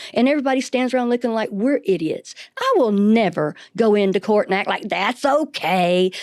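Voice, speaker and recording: A woman with an American accent at a fairly high pitch, fairly quick and animated, with lively intonation and noticeable background noise. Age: 60s. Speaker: victim's family member. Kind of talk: interview.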